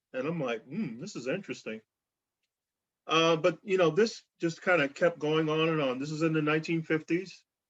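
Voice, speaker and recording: This man has an ordinary speaking voice, with fairly high pitch, ordinary pitch variation and a moderate pace. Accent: American. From US South, rural Georgia. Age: 60s. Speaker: reverend and speaker. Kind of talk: talk on racism with personal story.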